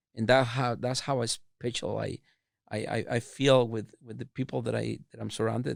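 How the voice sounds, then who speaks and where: With a strong Mexican accent, a man talks at a moderate pace and medium pitch with vocal fry and fairly even intonation, in a very clean recording with a silent background and a dry, close sound with no echo. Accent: thick Mexican Spanish. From Mexico, Chihuahua. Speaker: food business owner. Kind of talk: interview. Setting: podcast. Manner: halting, repeats words.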